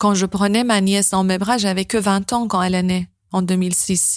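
A woman with a Persian accent speaks at medium pitch in a monotone, flat intonation. Her pace is very slow, and the recording is very clean with a silent background. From northern Iran. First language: Persian (speaking French). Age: 30s. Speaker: interviewee sharing life story. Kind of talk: personal testimony.

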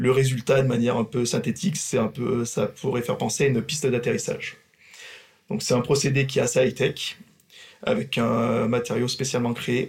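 At a moderate pace, a man of medium pitch speaks with ordinary pitch variation. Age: 30s. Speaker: railway maintenance works manager. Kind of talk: workplace podcast interview. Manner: hesitant with fillers.

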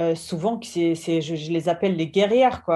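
A woman speaks with a German accent in a dark, mellow tone at a fairly low pitch. Her pitch varies in an ordinary way, and the background is quiet. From Germany. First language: German (speaking French). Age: 30s. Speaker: entrepreneur. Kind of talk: interview testimony. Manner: halting.

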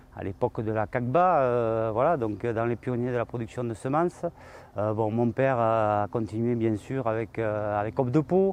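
A man speaks in a medium pitch against a quiet background. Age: 50s. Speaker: farmer. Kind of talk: interview. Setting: on his farm. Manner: halting, many hesitations.

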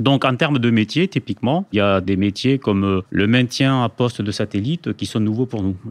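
A man speaks at a moderate pace and medium pitch, with ordinary pitch variation. He has an unremarkable speaking voice. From Spain, moved to France at age 7. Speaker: air force general, head of HR. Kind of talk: interview.

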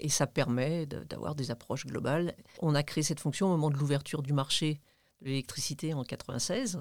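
At a moderate pace, a woman speaks with a very deep, low pitch and ordinary pitch variation. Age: 60s. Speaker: retired engineer and manager. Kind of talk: interview conversation. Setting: studio.

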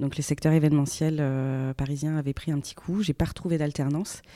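A woman speaks at a very deep, low pitch. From France, moved often. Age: 30s. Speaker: business executive. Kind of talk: podcast interview. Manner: hesitant, many fillers.

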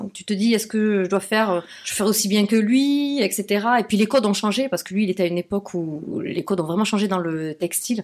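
A woman with a plain, everyday voice talks at a medium pitch with ordinary pitch variation and hardly any pauses. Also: fairly quick pace. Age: 30s. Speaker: fashion entrepreneur. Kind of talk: casual interview. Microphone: poor sound quality.

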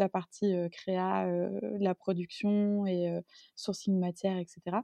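Her voice is medium in pitch with a dark, mellow tone and monotone, flat intonation. The woman is recorded against a quiet background with a dry, close sound with no echo. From Marseille, southern France. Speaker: fashion designer and brand co-founder. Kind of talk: interview conversation. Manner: hesitant, many fillers.

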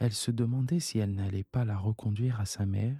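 Dark, mellow and gentle, soothing tone, somewhat breathy, with fairly even intonation in a dry, close sound with no echo. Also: man. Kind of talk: bedtime story read aloud, soothing scripted narration. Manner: slow, soft-spoken, gentle and soothing, with tender voices for the child characters.

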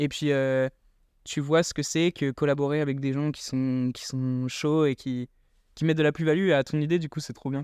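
Recorded with a dry, close sound and no echo, a man talks at a moderate pace in a fairly high, monotone, flat voice. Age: 20s. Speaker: student startup founder. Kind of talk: interview.

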